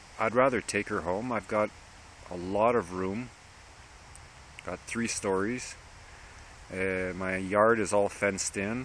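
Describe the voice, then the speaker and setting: In a Quebec accent, a man speaks fairly slowly in a fairly low voice, with fairly even intonation and long, frequent pauses. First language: French. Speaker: dog rescuer vlogger. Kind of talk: casual vlog monologue. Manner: halting, with repetitions.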